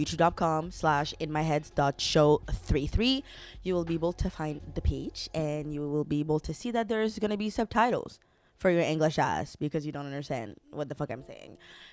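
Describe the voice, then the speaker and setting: Over music in the background, a woman with a very deep, low pitch talks in an animated tone with lively intonation. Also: moderate pace. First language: French. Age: 20s. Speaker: podcast host. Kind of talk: casual solo podcast monologue.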